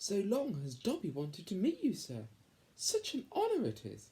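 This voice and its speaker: A man puts on a character voice. It is high in pitch and runs at a moderate pace. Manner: eager, reverent.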